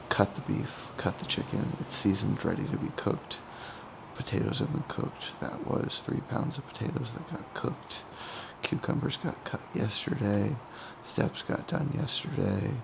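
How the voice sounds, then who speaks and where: Quiet and fairly high-pitched, a man speaks at a moderate pace with ordinary pitch variation over noticeable background noise. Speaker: bodybuilder vlogger. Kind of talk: casual vlog.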